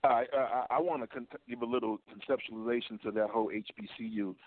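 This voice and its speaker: A man with an unremarkable speaking voice talks fairly quickly at a medium pitch. He has an American accent. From New York. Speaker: caller, former college basketball player. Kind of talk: call-in sports talk.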